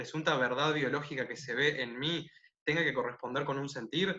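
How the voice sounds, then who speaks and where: A man speaks with a Uruguayan accent at a moderate pace. His tone is bright and sharp, with ordinary pitch variation. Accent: Rioplatense Spanish (Uruguayan). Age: 20s. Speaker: interview guest, nonbinary intersex activist. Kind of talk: casual interview. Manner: halting with fillers.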